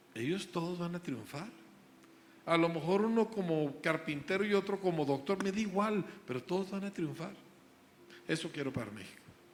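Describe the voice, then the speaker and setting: At a moderate pace, a man talks in a high voice with ordinary pitch variation. Long, frequent pauses break up his speech. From grew up in the United States, Mexican. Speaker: school founder, preacher. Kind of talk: interview.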